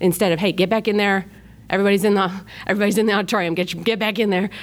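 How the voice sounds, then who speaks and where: With an upstate New York accent, a woman of medium pitch speaks at a very fast pace in an energetic tone. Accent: flat upstate New York. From upstate New York, Rochester. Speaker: children's ministry volunteer leader. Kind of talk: podcast interview.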